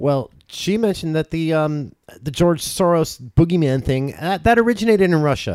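With an American accent, a man talks in a plain, everyday voice at a fairly high pitch. His pace is moderate, his intonation lively. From Southern California, Orange County. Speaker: political podcast co-host. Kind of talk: casual chat.

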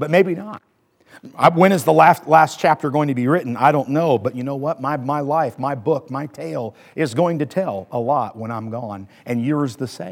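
A man uses a normal speaking voice with a fairly high pitch and lively intonation. His loudness swings widely as he speaks at a moderate pace. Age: 40s. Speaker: pastor. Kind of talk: sermon.

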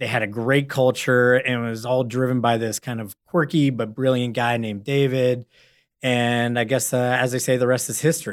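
A man with an American accent and a plain, everyday voice, at medium pitch and a moderate pace, with fairly even intonation, in a very clean recording over a silent background. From San Francisco, US. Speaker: investment portfolio manager. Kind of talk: interview.

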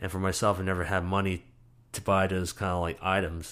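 A man with a New York accent speaks at a fairly quick pace with a very deep, low pitch. The recording is very clean, with a silent background. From New York, the Bronx. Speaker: storyteller. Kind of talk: interview. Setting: interview in Brooklyn.

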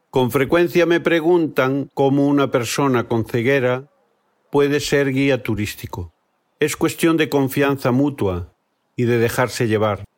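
A man with a plain, everyday voice talks at a fairly slow pace and medium pitch, with ordinary pitch variation, very even loudness, and a very clean recording over a silent background. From Galicia, Spain. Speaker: tour guide and guesthouse owner. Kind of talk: scripted narration.

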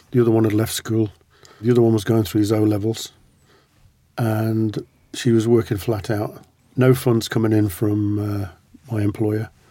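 Speaking at a moderate pace, a man uses a fairly low, dark, mellow voice in a monotone, flat delivery. He leaves long, frequent pauses. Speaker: veteran and former hostage. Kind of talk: interview recounting experiences.

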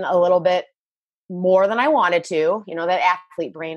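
An unremarkable speaking voice from a woman, fairly low-pitched, with an American accent, at a moderate pace. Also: quiet background. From Michigan. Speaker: fitness coach. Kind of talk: interview.

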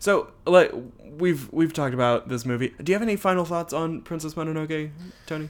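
Recorded very cleanly against a silent background, a man speaks at a fairly high pitch. His pace is fairly quick, and his pitch varies in an ordinary way. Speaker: podcast host. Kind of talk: casual chat. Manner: animated.

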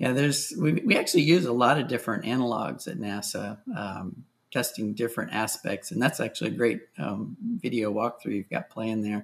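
At a moderate pace and with hardly any pauses, a man talks in an unremarkable speaking voice at a medium pitch with lively intonation. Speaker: space agency technologist. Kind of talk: interview.

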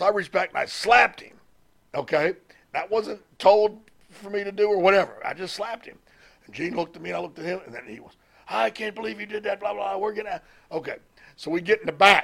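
A man with a Southern US accent talks very fast in a high voice. His loudness swings widely, broken by long, frequent pauses. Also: ordinary pitch variation. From US South, Mississippi. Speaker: retired pro wrestling manager. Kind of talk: interview.

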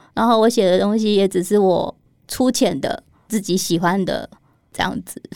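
In a Taiwanese accent, a woman speaks at a moderate pace with a medium pitch and ordinary pitch variation. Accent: Taiwanese Mandarin. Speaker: illustrator. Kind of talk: interview.

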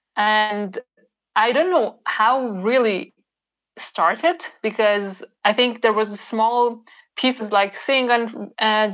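Speaking at a very slow pace with fairly even intonation, this voice carries a Persian accent. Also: woman. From Iran. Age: 30s. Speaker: cyclist. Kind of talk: interview. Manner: halting.

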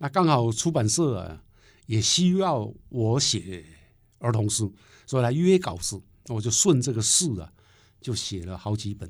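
A man with a Taiwanese accent talks at a fairly slow pace and medium pitch, with very wide pitch swings. He leaves long, frequent pauses on a very clean recording with a silent background. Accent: Taiwanese Mandarin. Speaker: poet and professor. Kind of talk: interview conversation.

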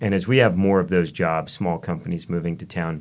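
The man's pitch is very deep and low, with ordinary pitch variation. He talks at a moderate pace. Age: 40s. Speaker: adventure photographer and filmmaker. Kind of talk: interview conversation.

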